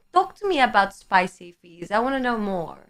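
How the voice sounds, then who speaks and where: A woman talks with a slight Greek accent in a bright, sharp, animated tone. Her fairly high pitch makes very wide swings. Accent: Greek-tinged English. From Greece. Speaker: live streamer. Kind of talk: casual chat reading viewer comments.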